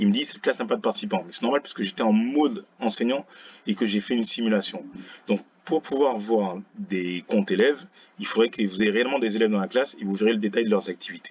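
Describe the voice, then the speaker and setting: A man at medium pitch, with ordinary pitch variation, rattles along at a very fast pace. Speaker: teacher. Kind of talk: tutorial. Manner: casual, relaxed.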